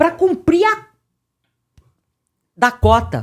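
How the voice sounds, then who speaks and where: Speaking at a very slow pace, the woman's voice carries vocal fry. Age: 60s. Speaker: podcast host. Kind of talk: casual chat. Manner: animated.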